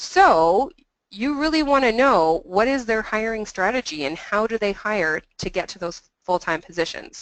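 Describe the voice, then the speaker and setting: A woman speaks with a fairly high pitch and very wide swings in it. The sound is dry and close, with no echo. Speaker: employment adviser. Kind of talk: webinar presentation. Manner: fast.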